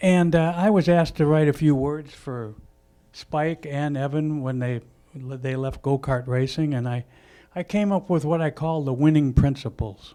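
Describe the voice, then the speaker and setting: With an American accent, a man speaks at a moderate pace in a fairly high, dark, mellow voice with ordinary pitch variation, on a very clean recording with a silent background. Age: 70s. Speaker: racing veteran. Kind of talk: speech at a launch event. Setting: live event with audience.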